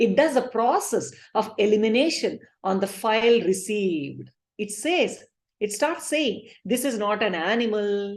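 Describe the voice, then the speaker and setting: Lively intonation carries the speech at a fairly slow pace. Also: woman, fairly high pitch for a woman. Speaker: spiritual teacher. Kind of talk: lecture.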